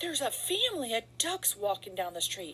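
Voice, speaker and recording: A woman does a put-on character voice with a fairly high pitch and very wide pitch swings. She moves at a fairly quick pace over clear background noise. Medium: read story.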